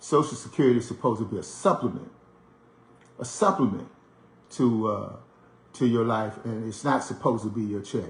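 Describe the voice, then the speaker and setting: Speaking in an American accent, a man talks at a fairly quick pace but leaves long, frequent pauses. His medium-pitched voice is somewhat breathy, with ordinary pitch variation. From US, Washington DC. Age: 60s. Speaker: radio show host, commentator. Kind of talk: monologue commentary. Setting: at home. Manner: conversational, with frequent fillers and repetitions.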